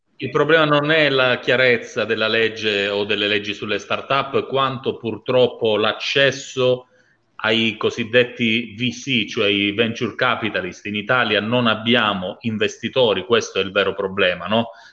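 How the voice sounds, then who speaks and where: Bright and sharp in tone, a man's medium-pitched voice moves at a fairly slow pace with fairly even intonation. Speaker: talk show host. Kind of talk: casual live social talk show. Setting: video call.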